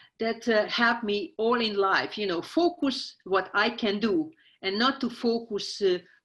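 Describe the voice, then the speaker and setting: A woman with a strong Hungarian accent, fairly high in pitch, fairly slow, with ordinary pitch variation and a quiet background. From Hungary, small town. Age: 60s. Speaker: scientist. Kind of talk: interview. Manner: halting, many fillers.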